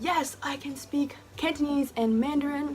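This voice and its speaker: Music can be heard in the background. A woman talks with an American accent. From US, New Jersey. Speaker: YouTuber. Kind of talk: casual vlog monologue. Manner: animated, filler-heavy.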